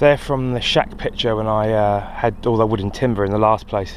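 With fairly even intonation, a man talks at a moderate pace and a medium pitch.

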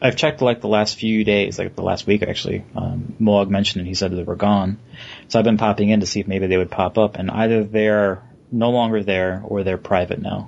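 A man talks fairly quickly in a plain, everyday voice, fairly low in pitch with fairly even intonation. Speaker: podcast host. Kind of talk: casual chat.

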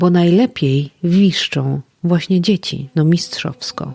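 A woman at a very slow pace, in a dry, close sound with no echo. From Podlasie, eastern Poland. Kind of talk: poetic podcast narration.

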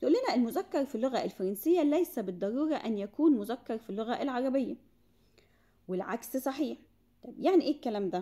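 With an Egyptian accent, a woman talks fairly quickly in a high, dark and mellow voice, her intonation lively and her loudness swinging widely. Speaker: French language teacher. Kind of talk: tutorial.

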